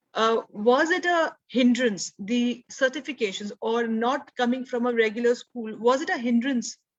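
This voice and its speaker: Spoken with an Indian accent, the voice shows ordinary variation in pitch. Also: woman. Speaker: podcast host, homeschooling parent. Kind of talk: interview.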